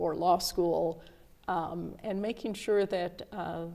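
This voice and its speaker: A woman talks in a normal speaking voice at a medium pitch. Her intonation is fairly even. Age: 60s. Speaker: federal judge. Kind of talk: casual interview chat.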